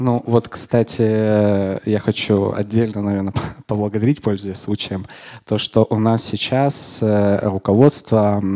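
A very slow pace, dark and mellow tone, fairly even intonation, and a quiet background. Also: man. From Chukotka, Russian Far East; Russian Far East. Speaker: physics teacher and university lecturer; physics teacher, university lecturer. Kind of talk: live interview. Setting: studio with live audience. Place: studio. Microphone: handheld.

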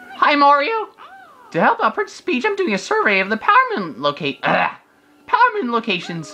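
A put-on character voice, high-pitched and squeaky, speaks in a cheerful tone at a fairly slow pace. Music plays in the background. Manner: cheerful, helpful.

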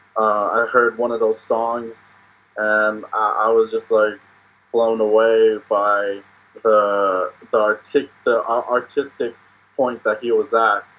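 A man with an American accent speaks at a very slow pace with monotone, flat intonation. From Oklahoma, US. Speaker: rapper and beat maker; podcast guest. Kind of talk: casual interview. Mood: relaxed, cheerful, laughing. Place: home room. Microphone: video call.

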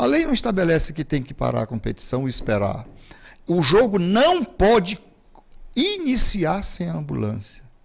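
With very wide pitch swings, this man talks at a moderate pace over a quiet background. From Pinheiro, Maranhão, Brazil; Maranhão, Brazil. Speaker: football federation president; guest. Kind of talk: interview. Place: studio. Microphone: studio mic.

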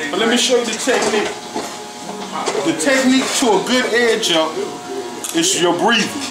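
A man speaks at a moderate pace while clear music is heard in the background. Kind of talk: casual explanation while working. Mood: playful, boastful. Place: shop. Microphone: phone near.

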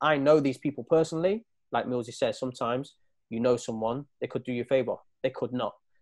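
Speaking at a very fast pace, a man with an East Midlands accent has a dark, mellow tone and fairly even intonation against a quiet background. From East Midlands, England. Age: 30s. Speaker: professional footballer and school coach; guest. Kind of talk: casual chat. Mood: earnest, reflective. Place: home room. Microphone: earbuds.

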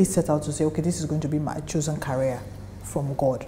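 A woman speaks with a very deep, low pitch at a fairly quick pace. There is light background noise. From Nigeria. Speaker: actress. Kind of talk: interview answer. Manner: soft-spoken. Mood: reflective, candid, animated gestures. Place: office.

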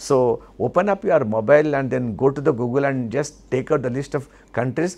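This is a man speaking. He has an Indian accent. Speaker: memory trainer. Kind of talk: tutorial. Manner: animated. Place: studio. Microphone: lapel.

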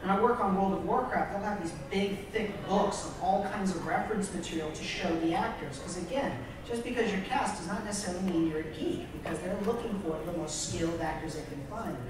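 Strong room echo and noticeable background noise surround speech that moves at a fairly quick pace with ordinary pitch variation and hardly any pauses. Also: man, high pitch for a man. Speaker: voice actor. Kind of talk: convention panel discussion. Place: hall.

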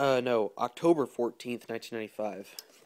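Moving at a moderate pace, a man's voice shows ordinary pitch variation. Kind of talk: casual vlog chat. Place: home room. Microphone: phone near.

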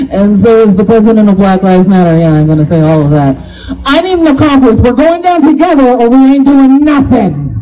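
A woman talks at a fairly quick pace with a fairly high pitch. Her pitch swings very widely. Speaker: comedian. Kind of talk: stand-up. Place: stage.

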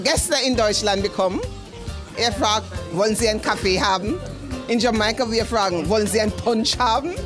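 A woman speaks at a moderate pace over clear music in the background. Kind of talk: interview answer. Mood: cheerful, enthusiastic. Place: cafe. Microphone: handheld.

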